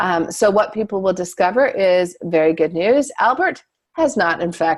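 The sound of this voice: An unforced reading voice with lively intonation against a quiet background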